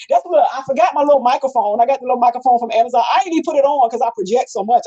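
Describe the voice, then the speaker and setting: Loud and animated, the speaker talks very fast with an American accent, the sound dry and close with no echo but with noticeable background noise. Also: woman. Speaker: radio personality and community advocate. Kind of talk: interview, casual chat. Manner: loud, projecting.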